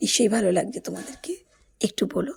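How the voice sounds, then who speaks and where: A woman speaks at a medium pitch with vocal fry. Her tone is dark and mellow. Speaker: vlogger. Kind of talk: casual vlog narration. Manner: animated.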